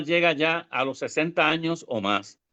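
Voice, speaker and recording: Against a quiet background, a man speaks at a moderate pace and a fairly high pitch. He has a normal speaking voice. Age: 60s. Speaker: government ombudsman. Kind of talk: interview.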